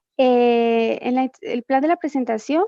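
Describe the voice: At a fairly slow pace, a woman talks in a fairly high pitch with fairly even intonation and a dark, mellow tone. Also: dry, close sound with no echo.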